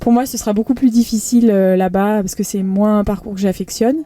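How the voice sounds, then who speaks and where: Her voice is a woman's at a medium pitch, with a dark, mellow tone and fairly even intonation. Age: 30s. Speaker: professional triathlete. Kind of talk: interview. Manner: hesitant, many fillers.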